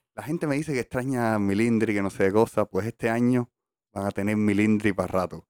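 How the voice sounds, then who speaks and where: The recording is very clean, with a silent background and a dry, close sound with no echo. The pitch varies in an ordinary way. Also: man, fairly low pitch for a man, fairly quick pace. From Cuba, Havana (La Lisa). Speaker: podcast co-host. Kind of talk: casual chat. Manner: animated.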